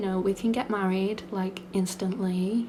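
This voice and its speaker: Over noticeable background noise, a woman with a British accent talks with fairly even intonation. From Britain. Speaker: ASMR creator. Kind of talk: casual Q&A chat. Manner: rambling soft-spoken.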